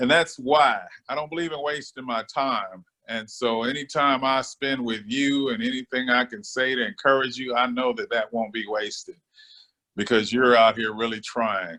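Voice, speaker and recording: A man speaks at a moderate pace with a medium pitch. His tone is bright and sharp, with ordinary pitch variation. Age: 60s. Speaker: business owner. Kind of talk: casual interview. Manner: relaxed, conversational with frequent fillers.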